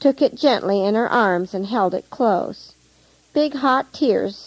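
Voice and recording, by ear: The recording features reading aloud in a natural voice.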